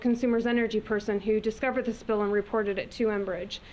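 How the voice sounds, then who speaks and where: At a very fast pace, a woman talks with a fairly high pitch. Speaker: environmental advocate. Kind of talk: presentation. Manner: loud.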